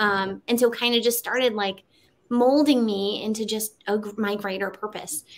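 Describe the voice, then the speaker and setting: A woman talks at a moderate pace. Her pitch sits fairly high, with fairly even intonation. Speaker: marketing strategist and speaker. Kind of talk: interview. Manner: casual, many fillers.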